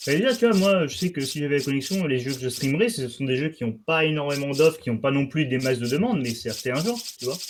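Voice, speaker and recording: A man talks very fast in a fairly high pitch with lively intonation and a southern French accent. Noticeable background noise is audible. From southern France. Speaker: gaming streamer. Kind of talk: casual chat.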